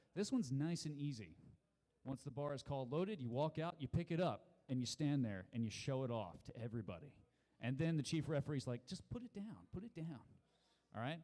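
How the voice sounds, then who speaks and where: Loud and fairly quick, a man speaks in a fairly high, dark, mellow voice with very wide pitch swings. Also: long, frequent pauses. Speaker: powerlifting meet announcer. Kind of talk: rules briefing. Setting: PA system at live powerlifting meet.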